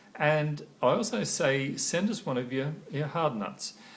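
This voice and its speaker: Lively male intonation with audible room echo. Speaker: corporate trainer. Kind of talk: training talk to camera. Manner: halting, frequent pauses and fillers.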